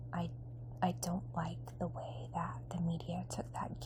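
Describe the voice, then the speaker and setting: The speaker is soft-spoken and relaxed, with vocal fry, monotone, flat intonation, and a fairly slow pace. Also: woman. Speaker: ASMR creator. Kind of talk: ASMR magazine review. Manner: soft-spoken, relaxed.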